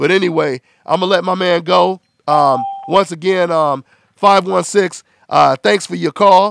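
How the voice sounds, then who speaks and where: In a dry, close recording with no echo, a man with a high pitch talks fairly slowly, his pitch varying in an ordinary way. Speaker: boxing radio show host. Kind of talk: call-in radio show. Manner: animated.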